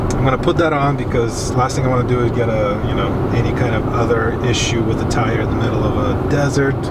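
Loud background noise runs behind the speech. A man talks at a moderate pace. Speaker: road trip vlogger. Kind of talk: casual vlog chat. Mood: mildly worried but calm. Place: car. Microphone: camera far.

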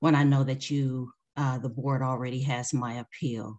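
Fairly slow speech against a quiet background. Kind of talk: formal statement to a board. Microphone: video call.

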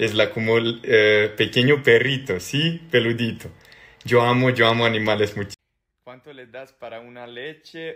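With a Serbian accent, a man speaks at a medium pitch. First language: Serbian (speaking Spanish). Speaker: social media personality; social media creator. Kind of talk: reading and answering social media comments. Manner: halting. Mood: cheerful, amused. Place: home room. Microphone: phone near.

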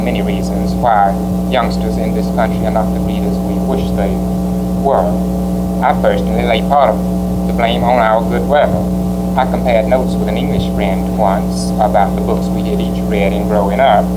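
Loud background noise runs under the recording. Over it, a man speaks at a fairly quick pace. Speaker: guest lecturer on children's books. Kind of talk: lecture. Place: hall.

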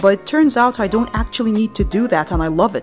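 A woman's fairly quick, lively-intoned speech with music in the background. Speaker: artist. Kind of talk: casual voice-over for art video.

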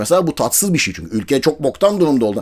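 Very fast, animated speech with lively intonation. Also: man. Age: 40s. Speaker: football commentator youtuber. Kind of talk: casual monologue.

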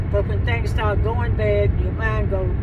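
Loud background noise surrounds a woman speaking at a fairly slow pace, in a dry sound with no echo. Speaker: grandmother. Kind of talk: interview answer. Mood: frank, animated. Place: car.

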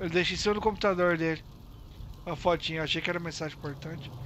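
Over light background noise, a man speaks very fast in a high pitch with monotone, flat intonation and long, frequent pauses, the sound dry with no echo. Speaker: live streamer and roleplay gamer; live streamer, roleplay gamer. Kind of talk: casual live-stream gameplay chat. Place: home room.

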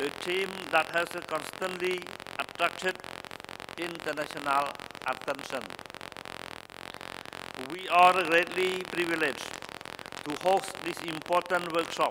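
A high-pitched man with monotone, flat intonation at a fairly slow pace, long, frequent pauses and noticeable background noise. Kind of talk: formal opening speech. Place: hall. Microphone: podium.

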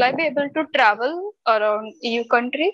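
A woman with an Indian accent speaks at a high pitch. The background is quiet. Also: dry sound with no echo. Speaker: job seeker. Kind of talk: casual Q&A. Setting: video call. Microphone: video call.

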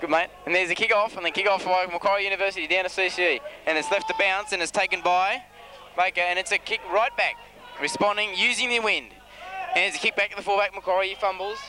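A man's raised, projected voice at a very fast pace, with very even loudness and fairly even intonation, dry sound with no echo, and noticeable background noise. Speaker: amateur match commentator. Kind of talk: sports commentary. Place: open country. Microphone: old recording.

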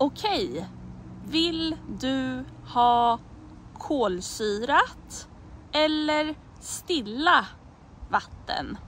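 A woman speaks very slowly, with long, frequent pauses and very wide pitch swings in a high voice. The sound is dry with no echo, with light background noise. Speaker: Swedish language teacher. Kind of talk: language lesson example phrases. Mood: friendly, smiling. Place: forest. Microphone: phone near.

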